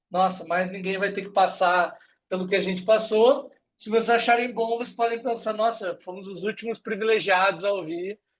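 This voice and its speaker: Big swings in loudness mark this speaker with a southern Brazilian accent, who talks at a moderate pace with fairly even intonation. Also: man. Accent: gaúcho accent, noticeable. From southern Brazil, Rio Grande do Sul. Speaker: HR recruitment specialist, guest lecturer. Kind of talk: online lecture. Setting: video call.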